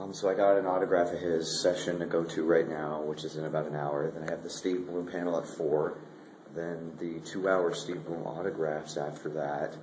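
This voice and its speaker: Speech comes at a moderate pace with monotone, flat intonation. The audio has audible room echo and noticeable background noise. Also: man, very deep, low pitch for a man. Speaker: convention vlogger. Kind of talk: casual vlog. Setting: convention.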